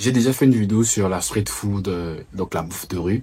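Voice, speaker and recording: A man speaks in a very deep, low pitch. Noticeable background noise sits under his voice. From Republic of the Congo. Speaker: travel and food vlogger. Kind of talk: vlog to camera.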